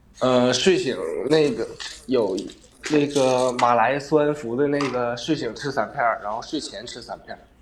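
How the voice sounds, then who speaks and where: A man speaks fairly slowly at medium pitch with ordinary pitch variation and big swings in loudness, with noticeable background noise. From Northeast China, Shenyang. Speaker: livestream caller with depression. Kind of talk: casual chat, personal confiding. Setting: livestream voice link.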